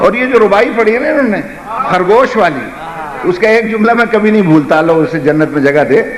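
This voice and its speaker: Lively intonation carries the voice over noticeable background noise. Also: man, high pitch for a man. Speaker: Shia religious scholar. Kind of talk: storytelling sermon address to audience. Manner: emotional, impassioned.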